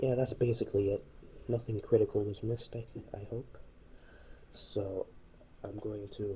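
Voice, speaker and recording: A soft-spoken man at a moderate pace, with long, frequent pauses. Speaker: ceiling fan hobbyist YouTuber. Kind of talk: casual video commentary. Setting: indoors, dark room at home.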